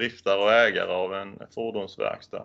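At a moderate pace, the speech carries a bright, sharp tone. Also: man. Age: 30s. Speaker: certification auditor. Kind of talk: interview.

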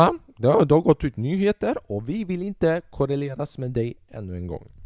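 Over a quiet background, a man talks at a moderate pace in an animated tone, his fairly high pitch making very wide swings. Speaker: podcast host and stand-up comedian. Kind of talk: stand-up comedy storytelling, recounting his first gig to an audience. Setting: podcast recording. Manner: casual and chatty, rambling with repeated words and dramatic pauses.

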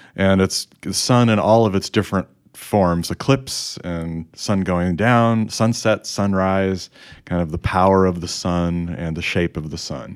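Speaking at a fairly slow pace, a man with an American accent has a very deep, low pitch. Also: ordinary pitch variation. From Chicago area, US Midwest. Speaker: podcast host. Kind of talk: casual chat, podcast discussion.

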